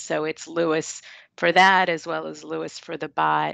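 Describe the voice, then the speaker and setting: Recorded with a dry, close sound with no echo and a quiet background, a woman with a very deep, low pitch and a slight New York accent speaks at a moderate pace with fairly even intonation. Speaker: software company presenter. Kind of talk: product presentation.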